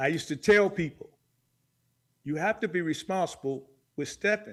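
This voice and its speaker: On a very clean recording with a silent background, a man talks at a moderate pace with ordinary pitch variation. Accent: American. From Chicago. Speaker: dance videographer. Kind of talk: interview.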